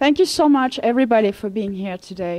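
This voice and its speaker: The speaker is a woman. She has a French accent. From France. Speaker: vegan coach. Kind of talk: lecture.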